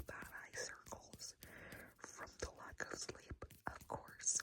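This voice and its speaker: A woman is whispering. Her pace is very slow. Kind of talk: ASMR makeup tips talk to camera. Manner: whispered, soft, sleepy.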